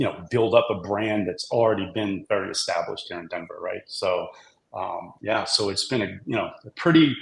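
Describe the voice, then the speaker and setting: A man speaks with a Boston accent at a moderate pace. His loudness swings widely. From Boston, US East Coast. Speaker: brewery CEO. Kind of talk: podcast interview.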